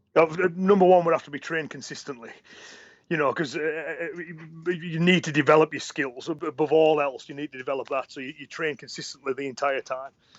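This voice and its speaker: Speaking at a fairly quick pace, a man with a normal speaking voice has a fairly high pitch, fairly even intonation, and big swings in loudness. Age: 40s. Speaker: karate instructor. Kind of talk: interview.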